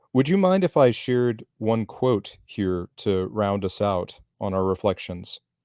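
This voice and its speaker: Recorded dry and close with no echo, a man with an American accent and a fairly low pitch talks with ordinary pitch variation and hardly any pauses. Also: very clean recording, silent background. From US South. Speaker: essay and poetry reader, YouTuber, panelist. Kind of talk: panel discussion. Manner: hesitant, repeats words.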